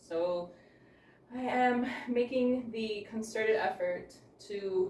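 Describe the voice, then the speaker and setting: A woman's mid-range voice, with mostly level intonation, is heard against noticeable background noise. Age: 40s. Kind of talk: casual talk to camera. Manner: hesitant, reflective.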